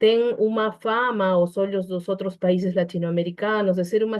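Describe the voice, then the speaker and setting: A woman speaks in a Peruvian accent at a medium pitch. Her intonation is fairly even. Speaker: psychologist. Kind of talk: online panel debate. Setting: online video call. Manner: hesitant, with fillers and restarts.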